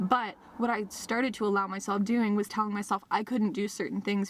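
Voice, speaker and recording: A woman's medium-pitched voice at a fairly quick pace amid noticeable background noise. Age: 20s. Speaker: vlogger. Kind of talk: casual vlog monologue. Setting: in a car. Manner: animated, chatty.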